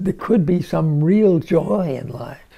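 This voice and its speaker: A man speaks at a very slow pace. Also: quiet background. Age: 80s+. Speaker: elder, spiritual teacher. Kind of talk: interview answer. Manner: hesitant, reflective.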